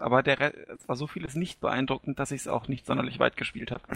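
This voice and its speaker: A man is speaking. His voice has vocal fry. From Hesse, Germany. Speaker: gaming community member. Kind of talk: casual chat.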